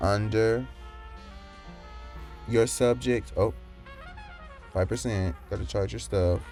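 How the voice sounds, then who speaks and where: Against music in the background, a man with a very deep, low voice makes very wide pitch swings. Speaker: animator. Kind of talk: screen-recorded tutorial narration.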